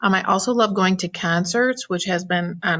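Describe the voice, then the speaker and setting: Her tone animated, a woman talks at a moderate pace with ordinary pitch variation. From Ohio. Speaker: teacher. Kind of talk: casual self-introduction presentation to students. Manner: chatty, animated.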